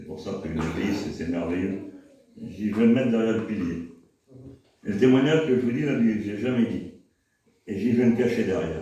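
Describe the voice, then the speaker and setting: A man talks at a moderate pace in a fairly low pitch with ordinary pitch variation. Room echo is audible. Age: 60s. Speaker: church member. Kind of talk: testimony. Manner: halting.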